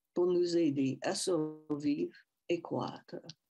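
Over light background noise, a woman with a Quebec accent speaks at a very slow pace, her pitch swinging very widely. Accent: Canadian French. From Métis francophone Canada. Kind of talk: personal talk. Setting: video call. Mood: calm, reverent. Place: home room. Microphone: headset.

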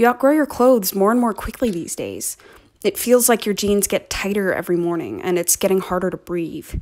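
With an ordinary speaking voice, a woman talks at a moderate pace, medium in pitch, with ordinary pitch variation. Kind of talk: spoken word performance.

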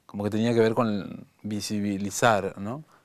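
In a fairly low pitch, a man speaks at a fairly slow pace over a quiet background. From Argentina, San Miguel de Tucumán; Argentina. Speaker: visual artist; guest. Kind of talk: interview. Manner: halting. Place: studio. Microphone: lapel.

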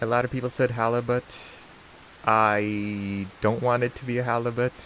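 A man's medium-pitched, monotone, flat delivery at a moderate pace amid noticeable background noise. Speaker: game streamer. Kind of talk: live gameplay commentary. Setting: live stream. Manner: loud, shouting over rain.

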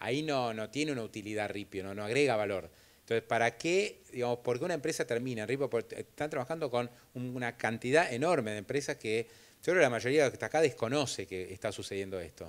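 A man in a Rioplatense accent talks at a very fast pace and a medium pitch. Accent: Argentine Rioplatense Spanish. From Argentina. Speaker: event host and interviewer; event host, interviewer. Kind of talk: onstage interview at business event. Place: hall. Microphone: handheld.

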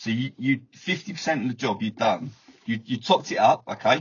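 Fairly quick speech from a man, somewhat breathy. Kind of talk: instructions and explanation on a call. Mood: friendly, reassuring. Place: car. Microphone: video call.

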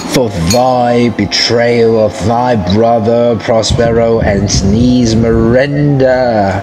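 In a put-on character voice with low pitch, the speaker goes at a very slow pace amid a clear echo and loud background noise. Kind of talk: archaic, theatrical. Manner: screeching, accusing.

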